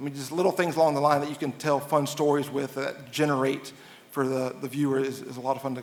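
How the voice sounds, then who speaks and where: Speaking at a very fast pace, a man with an American accent keeps a fairly high pitch. His intonation is monotone and flat. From Nashville, Tennessee (US South). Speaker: sports TV producer. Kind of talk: interview.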